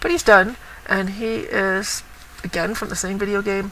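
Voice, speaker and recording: Fairly slow speech with noticeable background noise. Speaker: cross stitch vlogger. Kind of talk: casual show-and-tell vlog. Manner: lively.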